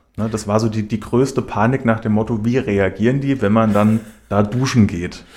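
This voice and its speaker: A man speaks at a moderate pace with a fairly low pitch, fairly even intonation, and an unremarkable speaking voice. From Hesse, Germany (Schlüchtern, Main-Kinzig). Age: 30s. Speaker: mayoral candidate. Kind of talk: radio interview. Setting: radio studio.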